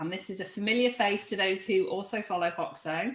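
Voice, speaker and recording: A woman with a Lancashire accent, medium pitch, lively intonation and a fairly quick pace. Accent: northern English (Lancashire). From England, Lancashire. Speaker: podcast host. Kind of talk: interview conversation.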